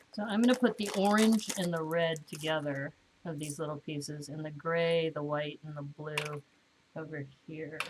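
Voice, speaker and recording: Over noticeable background noise, a woman speaks at a very deep, low pitch and a moderate pace. Her loudness swings widely, while her pitch varies in an ordinary way. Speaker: LEGO building streamer. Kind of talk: live stream building chat. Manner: casual, chatty.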